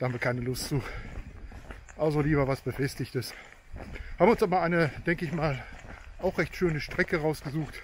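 Delivery comes at a moderate pace with ordinary pitch variation. The sound is dry with no echo, over light background noise. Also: man. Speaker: hiking vlogger. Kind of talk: casual vlog chat. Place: open country. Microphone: phone near.

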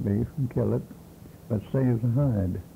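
A man's medium-pitched voice, somewhat breathy and dark and mellow in tone, with ordinary pitch variation at a fairly slow pace. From Kansas and Oklahoma. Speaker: early day cowboy. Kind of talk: oral history interview. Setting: at home.

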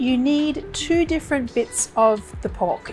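Clear background music behind a woman's voice. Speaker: cooking show host. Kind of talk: cooking tutorial. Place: kitchen.

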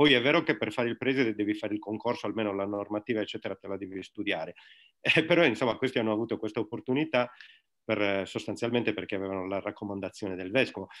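Against a quiet background, a man with a fairly low pitch talks at a very fast pace with ordinary pitch variation. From Sardinia. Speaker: religion teacher and secularist activist; interview guest. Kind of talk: online talk. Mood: critical, explanatory. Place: home room. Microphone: webcam.

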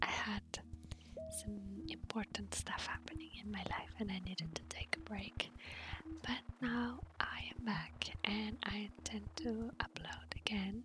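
Clear music plays behind a woman whispering at a fairly slow pace. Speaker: gaming ASMR creator. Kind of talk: gaming ASMR ramble. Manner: soft-spoken. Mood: friendly, smiling. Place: home room. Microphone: studio mic.

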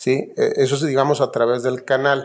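His pitch medium and his intonation fairly even, a man speaks. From northern Mexico, Guaymas, Sonora. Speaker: company founder. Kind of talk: interview. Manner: halting, repeats words.

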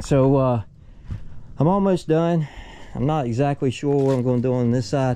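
A man's medium-pitched voice with a dark, mellow tone at a fairly slow pace

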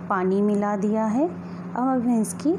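There is noticeable background noise. A woman speaks with ordinary pitch variation. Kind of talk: tutorial. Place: kitchen.

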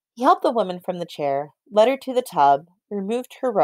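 Against a quiet background, the clip features plain reading aloud.

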